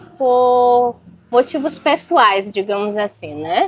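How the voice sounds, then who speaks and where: Very slow speech with a northern Brazilian accent. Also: woman. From Brazil, Acre (North). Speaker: physician. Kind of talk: casual interview.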